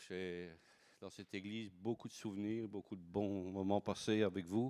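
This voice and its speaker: A man with a Belgian accent talks fairly slowly at a fairly low pitch with ordinary pitch variation. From Belgium. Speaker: pastor. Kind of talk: sermon. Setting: church service. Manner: halting, many repetitions and fillers.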